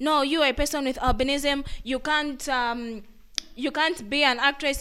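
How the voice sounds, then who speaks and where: Raised, projected speech from a woman, bright and sharp in tone. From Zambia. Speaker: advocate for people with albinism. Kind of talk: interview.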